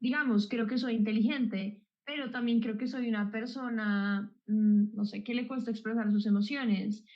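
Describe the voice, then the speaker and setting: At a moderate pace, a woman speaks with fairly high pitch, a somewhat breathy quality and monotone, flat intonation. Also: hardly any pauses. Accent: Colombian. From Colombia. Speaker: psychologist. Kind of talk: explanatory chat.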